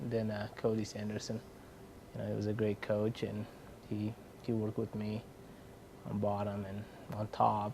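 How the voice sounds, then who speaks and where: Speaking at a moderate pace, a man with a fairly low pitch and a dark, mellow tone keeps a monotone, flat intonation with long, frequent pauses. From Uzbekistan. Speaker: wrestling coach. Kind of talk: interview. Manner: hesitant, many fillers.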